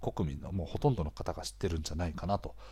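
A man talks with a dark, mellow tone and a somewhat breathy quality. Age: 30s. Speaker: podcast host, freelancer. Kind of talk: casual monologue. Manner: chatty, frequent filler words and laughs.

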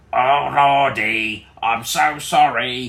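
Using a croaky, put-on character voice, a man speaks at a medium pitch. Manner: apologetic, nervous.

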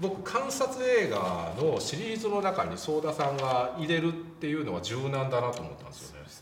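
Over noticeable background noise, a man talks at a moderate pace with hardly any pauses, very wide pitch swings, and big swings in loudness. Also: fairly high pitch for a man. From Japan, Wakayama. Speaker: film critic, show host. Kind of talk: casual film discussion.

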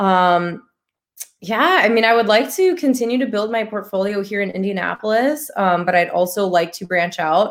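A woman with an American accent, an ordinary speaking voice, medium pitch, ordinary pitch variation and a moderate pace. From Chicago, Illinois. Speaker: real estate investor and physical therapist. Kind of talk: casual interview. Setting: live-streamed podcast.

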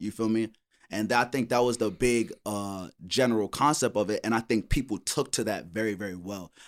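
The recording is very clean, with a silent background. A man speaks at a fairly quick pace and medium pitch with ordinary pitch variation. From New York, Brooklyn. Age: 20s. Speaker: rapper. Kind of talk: casual chat.

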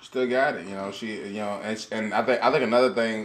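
A man at a medium pitch talks while noticeable background noise carries on underneath. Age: 40s. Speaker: podcast co-host. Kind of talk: casual chat. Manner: animated.

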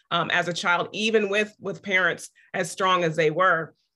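A woman speaks with an American accent. Her voice is fairly low in pitch with a bright, sharp tone. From Topeka, Kansas. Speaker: professor. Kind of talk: panel discussion.

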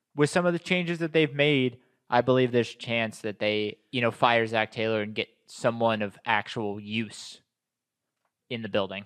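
A man with an American accent has a plain, everyday voice of medium pitch. He speaks at a moderate pace with ordinary pitch variation against a quiet background. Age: 20s. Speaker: sports podcast host. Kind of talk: casual chat.

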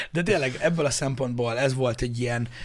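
The voice is somewhat breathy and animated, moving at a very fast pace on a very clean recording with a silent background. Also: man. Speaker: podcast host. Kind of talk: casual chat. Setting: studio.

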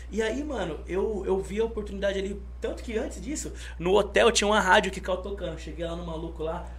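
Noticeable background noise behind a man talking at a fairly quick pace. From São Paulo state (Osasco), Brazil. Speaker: rapper. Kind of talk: casual chat. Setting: studio. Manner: animated.

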